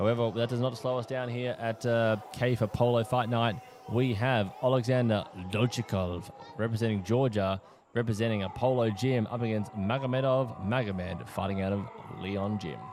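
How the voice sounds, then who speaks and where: At a moderate pace, a man with an Australian accent speaks at a medium pitch with fairly even intonation. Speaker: fight commentator and announcer. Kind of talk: live commentary.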